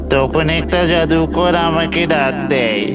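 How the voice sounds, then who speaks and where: A man puts on a cartoonish character voice at a fairly high pitch. Clear music plays in the background. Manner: menacing, taunting.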